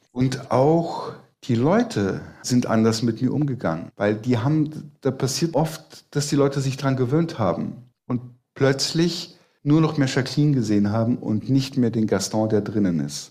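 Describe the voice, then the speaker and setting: At a moderate pace, a man with a medium pitch and a dark, mellow, somewhat breathy tone speaks with very even loudness and ordinary pitch variation. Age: 50s. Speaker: magician and entertainer. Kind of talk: casual chat.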